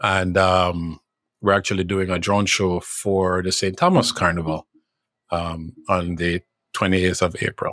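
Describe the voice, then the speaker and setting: In a very deep, low voice, a man with a Jamaican accent speaks at a fairly slow pace with monotone, flat intonation, the sound dry and close with no echo. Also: very clean recording, silent background. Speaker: drone show company executive. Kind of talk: podcast interview. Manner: halting, repeats words.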